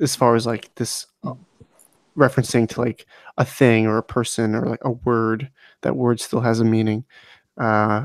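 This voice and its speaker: Quiet and dry, with a close sound and no echo, a man speaks in a flat monotone at medium pitch and a moderate pace, leaving long, frequent pauses. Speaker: book discussion podcast co-host. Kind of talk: casual chat. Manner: quiet, holding back volume.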